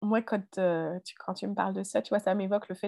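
Her voice is a medium pitch for a woman, with fairly even intonation. The sound is dry and close, with no echo. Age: 30s. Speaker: mother and health professional. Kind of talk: testimony. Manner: halting.

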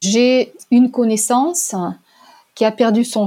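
A woman speaks with a Russian accent. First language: Russian (speaking French). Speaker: language teacher and interpreter. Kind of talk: testimony. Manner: hesitant with fillers.

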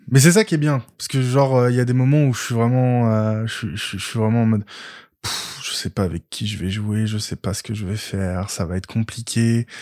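A man speaks at a moderate pace with a medium pitch and ordinary pitch variation. His is an unremarkable speaking voice. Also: very clean recording, silent background. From France, Paris region (Val-de-Marne). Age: 20s. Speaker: funeral services worker and role-player. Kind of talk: casual chat.

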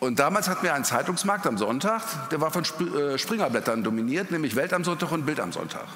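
The speech moves at a fairly quick pace with very wide pitch swings and hardly any pauses. Music plays in the background, and room echo is audible. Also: man. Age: 50s. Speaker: journalist. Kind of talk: panel discussion. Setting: stage with audience.

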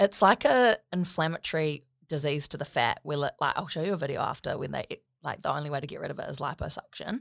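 Very fast and full of lively intonation, a woman with a New Zealand accent speaks at a very deep, low pitch on a very clean recording with a silent background. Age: 20s. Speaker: body positivity advocate. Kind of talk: casual interview chat.

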